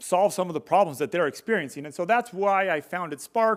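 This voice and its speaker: In a very clean recording with a silent background, a man speaks fairly quickly with ordinary pitch variation. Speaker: solar industry trainer and contractor. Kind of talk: conference presentation. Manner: fast.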